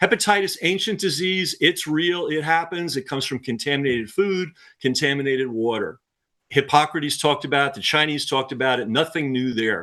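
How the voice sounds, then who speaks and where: With an American accent, a man talks at a fairly quick pace in a fairly high pitch, his tone bright and sharp against a quiet background. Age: 60s. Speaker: author and filmmaker. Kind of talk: interview. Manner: frequent filler words and hesitations.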